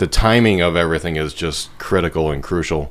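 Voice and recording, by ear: The voice is booming and moves at a moderate pace. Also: man.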